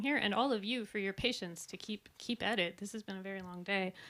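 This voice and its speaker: The speaker is a woman with a medium pitch. She talks at a fairly quick pace. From US West Coast, Silicon Valley. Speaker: researcher and artist presenting. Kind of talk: conference presentation. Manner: fast when nervous; hesitant with many fillers.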